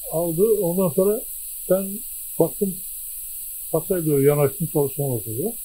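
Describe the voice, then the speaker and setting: Over light background noise, a man speaks in a high voice with a dark, mellow tone and lively intonation. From Denizli, Turkey; Turkey. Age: 80s+. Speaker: war veteran. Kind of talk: interview; interview answer. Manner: halting. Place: home room. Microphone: handheld.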